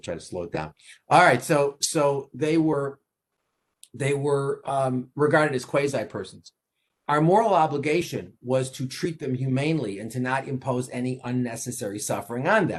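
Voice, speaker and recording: A man with a New York accent speaks at a fairly high pitch, with ordinary pitch variation. His loudness swings widely. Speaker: law professor. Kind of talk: lecture. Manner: fast; repetitive, halting restarts.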